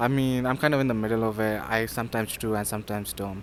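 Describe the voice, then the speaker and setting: This man speaks at a medium pitch with a Sindhi accent. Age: 20s. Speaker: university student. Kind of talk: interview. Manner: hesitant, many fillers.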